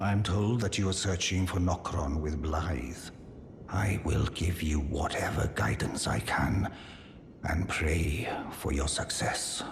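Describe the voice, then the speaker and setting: A man uses a put-on character voice with a very deep, low pitch. He speaks at a fairly slow pace over clear background noise. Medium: video game. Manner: earnest, courteous.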